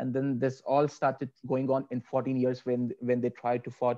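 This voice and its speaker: In a dark, mellow tone, a man talks at a moderate pace with monotone, flat intonation against a quiet background. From India. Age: 20s. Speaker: yoga teacher and philosophy student; yoga teacher. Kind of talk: interview. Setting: video call. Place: home room.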